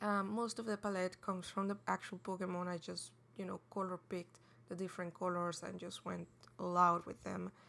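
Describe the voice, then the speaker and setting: A woman's medium-pitched voice with a non-native accent, bright, sharp tone, monotone, flat intonation and a fairly quick pace. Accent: non-native English, says pronunciation is off. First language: not English. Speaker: digital artist. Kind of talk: speedpaint voiceover commentary. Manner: halting, many fillers and restarts; casual.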